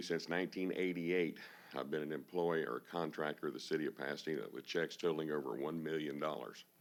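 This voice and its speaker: The voice carries a Texan accent and vocal fry. It moves at a fairly quick pace with fairly even intonation. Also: man. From Texas, Houston area. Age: 60s. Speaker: auctioneer, public commenter. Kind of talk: public comment at city council. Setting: city council meeting room.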